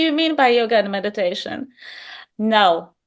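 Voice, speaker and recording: Her intonation is lively and her pace moderate. A woman in a Polish accent speaks against a quiet background. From Poland. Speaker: yoga teacher in training. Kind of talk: interview.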